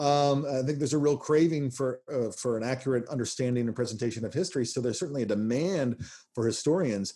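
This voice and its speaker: A man talks very fast at medium pitch, with ordinary pitch variation. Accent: American. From US South, Nashville. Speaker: history professor. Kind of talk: interview. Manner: halting, many fillers.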